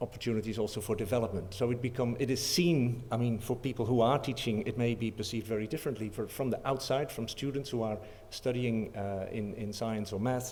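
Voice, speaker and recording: With a Dutch accent and a medium pitch, a man speaks in a fairly even intonation amid audible room echo. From Netherlands. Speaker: professor. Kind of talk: conference talk. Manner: halting.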